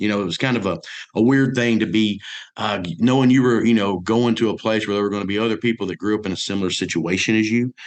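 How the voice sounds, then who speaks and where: A man with a Mississippi accent at a very fast pace and fairly low pitch. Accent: Southern US (Mississippi). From US South (north Mississippi). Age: 40s. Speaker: businessman, college alumnus. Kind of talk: radio interview. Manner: animated; halting.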